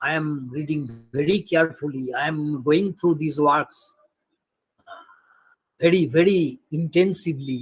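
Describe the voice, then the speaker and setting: Somewhat breathy and fairly even in intonation, a man speaks at a fairly slow pace with long, frequent pauses. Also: fairly high pitch for a man. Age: 60s. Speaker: retired political science professor. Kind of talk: academic webinar Q&A. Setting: video call.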